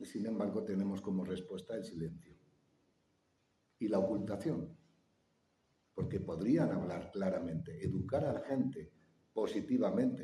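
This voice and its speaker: A man with a dark, mellow tone, somewhat breathy, with lively intonation at a fairly slow pace. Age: 60s. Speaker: conference speaker. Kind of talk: public talk with audience Q&A.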